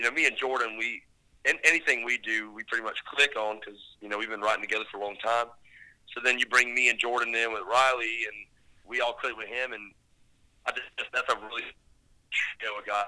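A bright, sharp voice with an American accent, delivered in a flat monotone at a very fast pace. Long pauses come often, and the loudness swings widely. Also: man, medium pitch for a man. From northeast Florida. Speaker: songwriter and producer. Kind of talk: casual interview chat. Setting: at home, remote interview.

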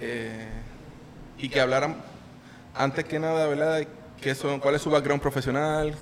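A man with a Puerto Rican accent speaks at a moderate pace and a fairly high pitch, in a monotone, flat intonation. He takes long, frequent pauses, with noticeable background noise behind him. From Puerto Rico, Yauco. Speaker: podcast host. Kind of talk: interview.

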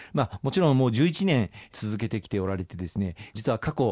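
Over a quiet background, a man talks at a fairly quick pace with lively intonation. His pitch is medium, and the sound is dry and close with no echo. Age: 40s. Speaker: politician. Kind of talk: radio interview. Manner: formal; hesitant with filler words.

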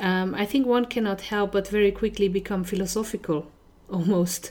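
Her intonation fairly even, a woman with a Hungarian accent speaks at medium pitch. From Hungary. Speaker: podcast host. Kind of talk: interview.

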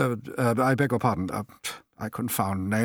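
Quiet surroundings, an unforced reading voice, and ordinary pitch variation

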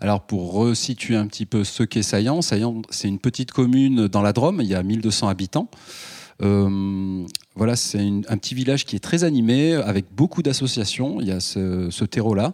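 On a very clean recording with a silent background, a man with a dark, mellow tone and fairly low pitch speaks at a moderate pace with ordinary pitch variation, the sound dry and close with no echo. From Ardèche, southern France. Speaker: filmmaker and local councillor. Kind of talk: public panel debate.

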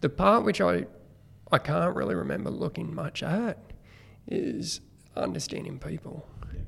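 With an Australian accent, a man talks at a moderate pace, leaving long, frequent pauses. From New South Wales, Australia. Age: 40s. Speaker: guest, former teacher turned business person. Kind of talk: casual interview.

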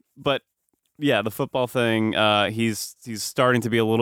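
A man with an American accent speaks in an unremarkable speaking voice. His pitch is fairly low and his pace moderate. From US East Coast suburbs. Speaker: podcast host. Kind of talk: casual chat.

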